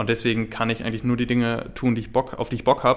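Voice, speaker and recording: Over a silent background on a very clean recording, a man speaks. He goes very fast. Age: 20s. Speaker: podcast co-host. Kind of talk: casual chat.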